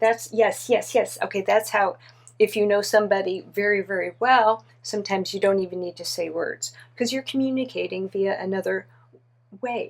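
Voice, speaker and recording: An animated woman's voice, medium in pitch, at a moderate pace with ordinary pitch variation. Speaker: trance medium channeling a spirit. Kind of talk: trance channeling session. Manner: animated, halting with many fillers.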